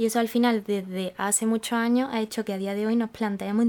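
Her pitch fairly high, a woman talks at a fairly quick pace with a dark, mellow tone. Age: 20s. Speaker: podcast host. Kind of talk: casual chat.

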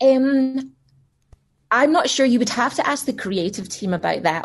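A woman's voice in a Scottish accent, at a fairly slow pace, with very wide pitch swings. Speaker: voice actor. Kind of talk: casual chat.

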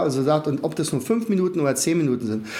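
A man races along at a very fast pace, and noticeable background noise can be heard. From Brandenburg, Germany. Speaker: learning methods trainer, academy founder. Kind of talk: interview.

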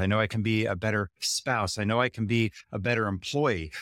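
A man with an American accent and an unremarkable speaking voice talks at a moderate pace in a fairly low pitch, on a very clean recording with a silent background. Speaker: professor and author. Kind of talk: interview conversation.

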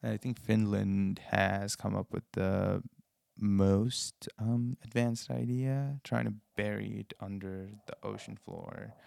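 A man's fairly low voice at a very slow pace with lively intonation, dry and close with no echo. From Nepal. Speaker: university student. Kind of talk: casual conversation. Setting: library.

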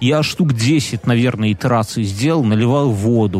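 A man speaks with lively intonation. Noticeable background noise sits behind him. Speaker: podcast co-host. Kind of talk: casual chat.

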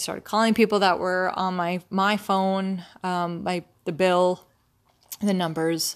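A woman speaks at medium pitch and a fairly slow pace, in monotone, flat intonation. The recording is very clean, with a silent background. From North Dakota, US. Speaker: podcast host, nurse. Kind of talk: personal monologue. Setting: recording at home. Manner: casual, many fillers.

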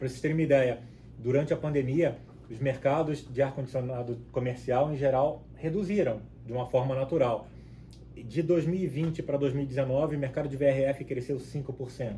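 A man with a Rio de Janeiro accent speaks at a medium pitch in a dark, mellow, somewhat breathy tone, his intonation fairly even. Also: moderate pace. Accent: Rio de Janeiro (carioca). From Rio de Janeiro state, Cabo Frio. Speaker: product director in air conditioning industry. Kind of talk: casual interview.

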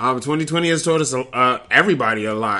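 This man's tone is bright and sharp. He talks with an American accent. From Detroit. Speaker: podcast host. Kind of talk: casual monologue.

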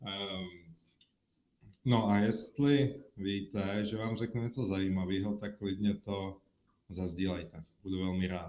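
Here a man speaks very slowly at a fairly low pitch. His tone is dark and mellow, and his intonation stays fairly even. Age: 30s. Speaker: mortgage specialist. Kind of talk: live-stream monologue with viewer Q&A. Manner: halting.

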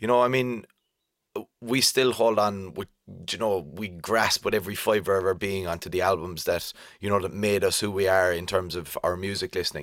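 In a very clean recording with a silent background, a man with a fairly low pitch and fairly even intonation has an ordinary speaking voice. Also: moderate pace. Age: 30s. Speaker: music podcast host. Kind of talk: casual chat.

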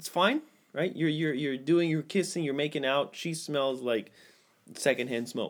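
A plain, everyday voice, captured on a very clean recording with a silent background, keeps a moderate pace and ordinary pitch variation. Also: man, fairly high pitch for a man. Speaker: podcast host. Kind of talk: casual banter podcast chat. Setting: home studio. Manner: joking, playful, frequently interrupting.

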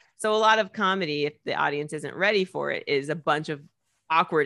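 A woman with an American accent has a very deep, low voice and a bright, sharp tone. She speaks at a fairly quick pace with ordinary pitch variation. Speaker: comedian and TV presenter. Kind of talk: casual interview chat. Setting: video call from home. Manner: fast talker.

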